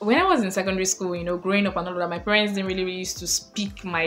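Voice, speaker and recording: A woman with a Nigerian accent speaks at a fairly low pitch in a monotone, flat intonation. Audible room echo and noticeable background noise are present. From Nigeria, Lagos. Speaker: lifestyle vlogger. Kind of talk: casual advice vlog.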